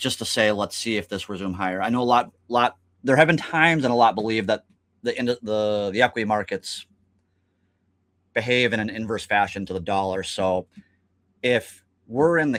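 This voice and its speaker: In a very clean recording with a silent background, a man talks at a moderate pace with a fairly low pitch. He has an unremarkable speaking voice and ordinary pitch variation. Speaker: stock market technical analyst. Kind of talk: casual market discussion.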